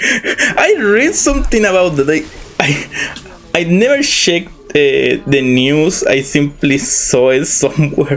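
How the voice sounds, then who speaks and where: Very slow and very even in loudness, a man with a Spanish accent talks over noticeable background noise. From Chile. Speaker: vtuber streamer. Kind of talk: casual live stream chat. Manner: halting, with repeated words.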